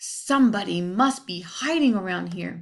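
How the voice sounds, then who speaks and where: Putting on a growling character voice, a woman speaks at a medium pitch and a moderate pace with very wide pitch swings. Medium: read story.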